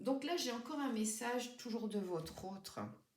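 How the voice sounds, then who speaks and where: A fairly slow pace and lively intonation, plus audible room echo. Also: woman. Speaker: tarot card reader. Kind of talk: tarot reading for viewers. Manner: hesitant, many fillers.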